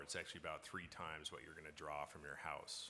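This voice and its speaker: There is a bright, sharp tone to this man's voice, with a slight Newfoundland accent. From Newfoundland, Canada. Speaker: bitcoin mining company founder. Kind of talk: conference panel Q&A. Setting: stage with audience at conference.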